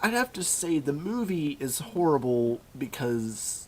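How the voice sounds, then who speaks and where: A man speaks over noticeable background noise. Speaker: comedy vlogger. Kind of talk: casual comedic talk to camera.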